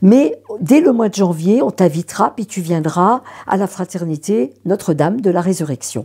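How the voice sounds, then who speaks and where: A woman talks at a fairly slow pace in a dark, mellow tone, her fairly low pitch swinging very widely. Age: 70s. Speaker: consecrated widow. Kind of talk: testimony. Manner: halting.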